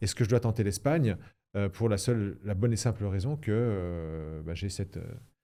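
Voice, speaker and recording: A man at a fairly low pitch, dark and mellow in tone, moderate in pace with ordinary pitch variation, on a very clean recording with a silent background. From Lorraine, France (Toul, near Nancy). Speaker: former member of parliament. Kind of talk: interview. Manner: hesitant, many fillers.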